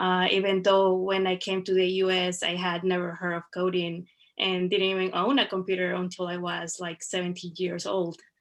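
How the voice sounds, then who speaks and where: Hardly any pauses break this monotone, flat delivery in a Spanish accent. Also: woman, medium pitch for a woman, moderate pace. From Veracruz, Mexico. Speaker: web developer. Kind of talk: personal story presentation.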